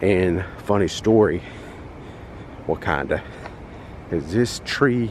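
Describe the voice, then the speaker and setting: A man is talking with ordinary pitch variation. There is noticeable background noise behind him. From North Carolina, US South. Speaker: travel vlogger. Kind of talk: walking tour vlog. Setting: outdoors at a resort. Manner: casual, chatty.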